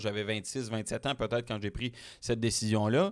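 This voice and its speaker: A man keeps a moderate pace. Nothing much stirs in the quiet background. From Quebec, Témiscamingue; Quebec. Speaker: automotive journalist. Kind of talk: interview. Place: studio. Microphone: studio mic.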